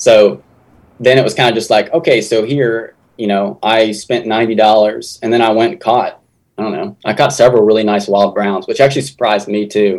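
Fairly quick and fairly even in intonation, a man speaks at medium pitch with an Appalachian accent. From southern West Virginia. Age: 20s. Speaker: fishing YouTuber. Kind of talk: casual interview. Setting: video call.

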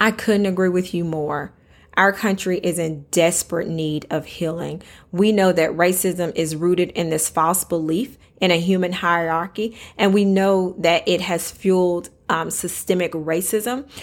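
In a very clean recording with a silent background, a speaker with a Southern US accent talks at a fairly slow pace with fairly even intonation. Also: woman, fairly low pitch for a woman. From US South. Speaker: podcast host. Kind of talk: interview.

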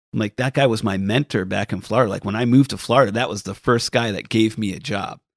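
A man with a plain, everyday voice speaks at a fairly quick pace and a medium pitch. His intonation is fairly even, and the sound is dry and close with no echo. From US Northeast, Rhode Island. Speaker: golf caddie. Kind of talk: casual chat.

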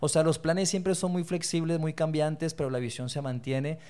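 Very clean recording, silent background: a man with a fairly high pitch and ordinary pitch variation speaks. He uses an ordinary speaking voice. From Colombia (Bogotá), born in Torreón, Mexico. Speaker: leadership foundation executive. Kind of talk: interview conversation.

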